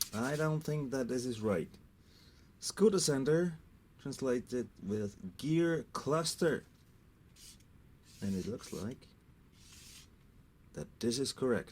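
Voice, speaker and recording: A man at a medium pitch with lively intonation, a very slow pace and long, frequent pauses. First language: German. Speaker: scooter mechanic. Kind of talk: tutorial.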